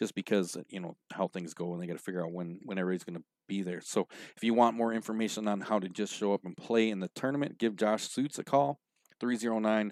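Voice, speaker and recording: A man with fairly low pitch talks at a very fast pace with ordinary pitch variation. There is no echo, and the sound is dry and close. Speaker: pool show host. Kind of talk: event announcements on live show. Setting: live stream show.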